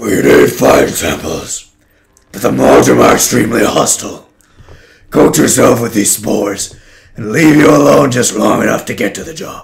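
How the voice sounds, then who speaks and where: Putting on a character voice, a man sounds raspy and strained at a medium pitch, keeping a moderate pace. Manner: strained, exaggerated.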